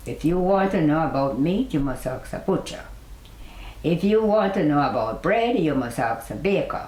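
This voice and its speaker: A woman speaks at a moderate pace with a fairly low pitch and very wide pitch swings. Noticeable background noise sits behind her. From Jamaica. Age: 80s+. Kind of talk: interview answer.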